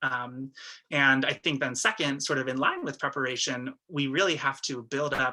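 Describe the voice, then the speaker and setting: This man has a medium pitch and a bright, sharp tone. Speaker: abolitionist community organizer. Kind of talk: webinar panel discussion. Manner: fast; hesitant, many fillers.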